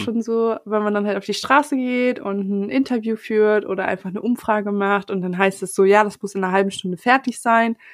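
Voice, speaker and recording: Over a silent background in a very clean recording, a woman with a normal speaking voice talks at a fairly quick pace, fairly high in pitch with ordinary pitch variation. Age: 20s. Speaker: podcast editor. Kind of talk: casual chat.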